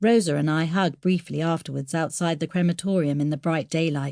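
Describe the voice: Over a silent background in a very clean recording, a slightly mellow voice with vocal fry moves at a fairly quick pace with ordinary pitch variation. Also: woman, low pitch for a woman.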